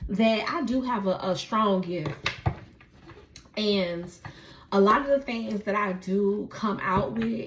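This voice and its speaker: A woman at a medium pitch with ordinary pitch variation, a very slow pace and long, frequent pauses, over noticeable background noise. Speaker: tarot reader. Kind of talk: tarot reading. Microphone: echo, mic unplugged.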